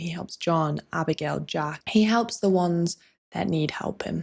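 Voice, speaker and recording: A soft-spoken woman talks at a moderate pace with a fairly low pitch. The recording is very clean, with a silent background. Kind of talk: casual talk to camera, video essay game review.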